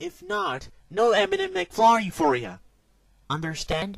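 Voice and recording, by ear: A man puts on a cartoonish character voice, high in pitch with vocal fry. He speaks at a fairly slow pace with very wide pitch swings.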